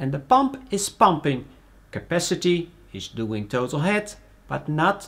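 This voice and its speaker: The voice belongs to a man. He talks at a fairly slow speed. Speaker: presenter. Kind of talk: tutorial. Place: workshop.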